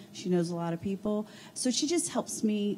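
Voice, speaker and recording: A somewhat breathy woman with a dark, mellow tone, over light background noise. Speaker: HR coordinator. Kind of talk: panel discussion. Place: meeting room.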